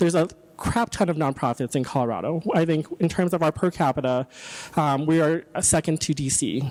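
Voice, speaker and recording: In a dry, close sound with no echo, a man with a fairly high pitch speaks at a fairly quick pace with very even loudness and ordinary pitch variation. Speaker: city economic development official, guest speaker. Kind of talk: presentation / training talk. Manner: fast; hesitant, many filler words.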